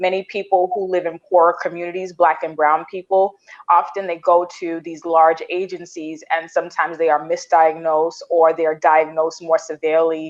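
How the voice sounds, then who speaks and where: A woman speaks with an American accent at a moderate pace. Her fairly low voice has a monotone, flat intonation. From Brooklyn, New York (Caribbean household). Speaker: therapist and career coach. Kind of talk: panel discussion.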